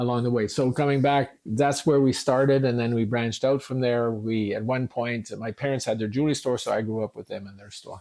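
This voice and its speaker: With a Canadian accent, a man talks at a fairly quick pace with hardly any pauses, a medium pitch, fairly even intonation, big swings in loudness and a dark, mellow tone. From eastern Ontario, Canada (Hawkesbury). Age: 70s. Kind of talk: podcast interview.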